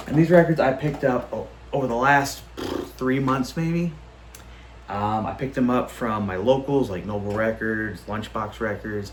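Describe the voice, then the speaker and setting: Moderately paced, a man speaks at medium pitch with ordinary pitch variation. The recording carries noticeable background noise and audible room echo. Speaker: record collector YouTuber. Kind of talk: casual vlog show-and-tell. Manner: animated.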